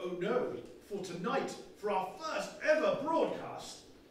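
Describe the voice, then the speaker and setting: The pitch swings very widely. There is audible room echo. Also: man. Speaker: comic and one-man play performer. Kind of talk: comic historical one-man play, stand-up style. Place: stage. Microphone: camera far.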